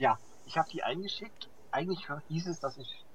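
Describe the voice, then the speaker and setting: A man is speaking. His pace is moderate. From eastern/central Germany (Saxony-Anhalt, Thuringia, Hesse). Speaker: podcast co-host. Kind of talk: casual chat.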